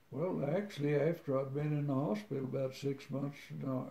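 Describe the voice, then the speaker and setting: The voice belongs to a man, medium in pitch. His tone is dark and mellow, and somewhat breathy. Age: 80s+. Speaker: war veteran. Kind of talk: interview answer.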